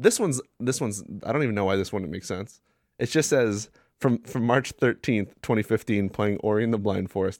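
A man speaks in an ordinary speaking voice at a fairly quick pace, his pitch fairly low with ordinary pitch variation, on a very clean recording with a silent background. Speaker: podcast co-host. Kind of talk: casual chat.

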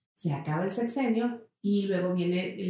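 A woman's medium-pitched voice, dark and mellow in tone and somewhat breathy. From Mexico, Saltillo. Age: 40s. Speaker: entrepreneur. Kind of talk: interview.

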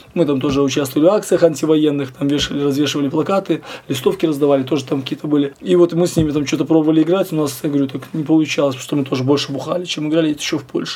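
A man rattles off his words very fast while noticeable background noise carries on behind him. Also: fairly high pitch for a man, fairly even intonation. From Belarus. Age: 40s. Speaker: punk musician. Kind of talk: interview.

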